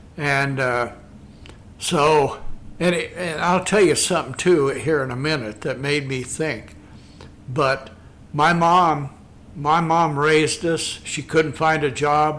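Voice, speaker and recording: A man's fairly high voice with a Midwestern US accent, very slow, fairly even in intonation, with long, frequent pauses. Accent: rural Midwestern American. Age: 70s. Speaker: Vietnam War veteran and small-town businessman. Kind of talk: casual interview conversation. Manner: talkative.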